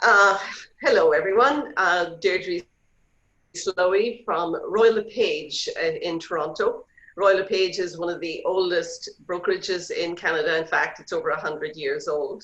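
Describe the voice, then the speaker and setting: A woman with an Irish accent speaks at a fairly slow pace. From Ireland. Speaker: real estate agent. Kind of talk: interview.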